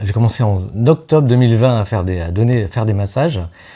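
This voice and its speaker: Medium in pitch, a man's voice carries a dark, mellow tone with ordinary pitch variation. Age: 60s. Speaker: massage practitioner, workshop participant. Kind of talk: interview. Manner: halting, many hesitations.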